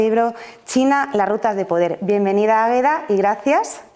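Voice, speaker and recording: Through noticeable background noise, a woman talks at a fairly quick pace in a fairly high pitch with ordinary pitch variation. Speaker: event moderator. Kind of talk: event introduction.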